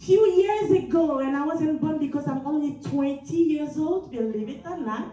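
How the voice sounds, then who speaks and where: In a room with audible echo, a woman with a high pitch and a dark, mellow tone speaks at a fairly slow pace. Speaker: motivational speaker, nurse executive. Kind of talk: motivational speech. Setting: stage with audience. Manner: energetic.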